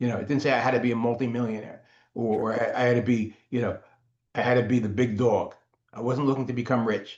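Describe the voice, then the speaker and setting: With an American accent, a man at medium pitch speaks at a very fast pace. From New Jersey (Paterson). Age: 60s. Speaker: copywriter. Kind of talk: interview.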